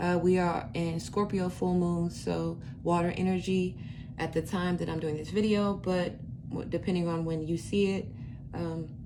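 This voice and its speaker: A woman's fairly low voice at a moderate pace, fairly even intonation, audible room echo. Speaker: tarot reader. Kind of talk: tarot reading. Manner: halting, many fillers.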